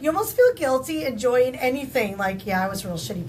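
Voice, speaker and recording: A woman speaks in a somewhat breathy voice. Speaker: podcast co-host, interviewer. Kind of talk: casual podcast conversation.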